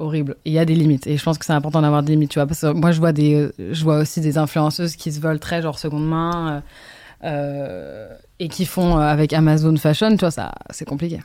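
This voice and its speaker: A dark, mellow tone at a fairly quick pace with fairly even intonation, on a very clean recording with a silent background. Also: woman, very deep, low pitch for a woman. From France and Brazil, partly raised in London. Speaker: fashion designer and content creator. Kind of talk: casual interview. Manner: halting.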